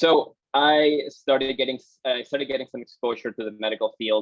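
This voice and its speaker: A man with a Peruvian accent talks at a moderate pace. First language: Spanish. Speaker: exercise physiologist. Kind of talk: guest talk to students.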